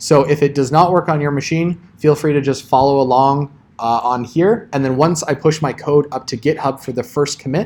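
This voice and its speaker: A man speaks with fairly even intonation and hardly any pauses. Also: fairly high pitch for a man. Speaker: college programming instructor. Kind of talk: lecture. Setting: classroom with students. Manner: fast.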